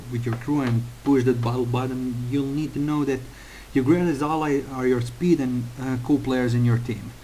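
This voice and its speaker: The speaker has a Slavic accent and a moderate pace. Intonation stays fairly even, with audible room echo. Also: man. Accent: Slavic accent, a little like Russian. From Croatia. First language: Croatian. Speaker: gaming tutorial maker. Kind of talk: tutorial. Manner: hesitant, many fillers.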